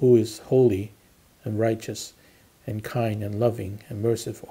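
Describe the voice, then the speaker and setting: Monotone and flat, a man speaks in a dark, mellow tone. His voice is somewhat breathy. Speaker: pastor leading prayer. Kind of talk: prayer. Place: home room. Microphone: phone near.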